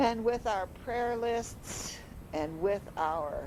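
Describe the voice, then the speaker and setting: Lively intonation carries a woman's dark, mellow tone, touched with vocal fry, in an American accent. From Chicago. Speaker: retired high school English teacher. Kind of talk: personal reminiscence narration. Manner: reflective, earnest.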